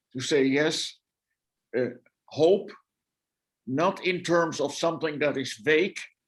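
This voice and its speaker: A man with a Dutch accent speaks at a fairly high pitch. His pace is fairly slow, with ordinary pitch variation. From Netherlands. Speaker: guest lecturer, theologian. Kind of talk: answer in an online discussion. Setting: video call. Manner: halting, many repetitions.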